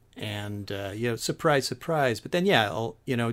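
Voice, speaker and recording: On a very clean recording with a silent background, a man with a normal speaking voice and an American accent speaks at a medium pitch with lively intonation. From US West Coast (San Francisco Bay Area). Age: 50s. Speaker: guest podcast host. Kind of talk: casual chat.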